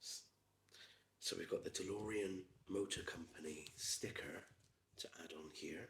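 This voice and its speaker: A soft-spoken man with a Gloucestershire accent. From England. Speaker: ASMR creator. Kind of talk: ASMR build chat. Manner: soft-spoken, methodical.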